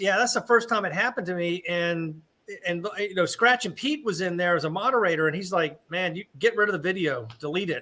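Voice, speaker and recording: With a bright, sharp tone and a high pitch, a man speaks at a fairly quick pace with lively intonation. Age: 50s. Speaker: live stream co-host. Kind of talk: casual chat.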